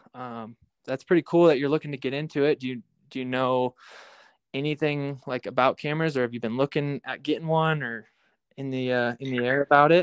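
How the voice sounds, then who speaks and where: Fairly high-pitched, a man talks at a fairly quick pace with a Midwestern US accent. His intonation is fairly even. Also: very clean recording, silent background. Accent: US Midwest. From Iowa. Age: 20s. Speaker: hunter and outdoor video creator. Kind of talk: casual interview. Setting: podcast. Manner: hesitant, filler-heavy.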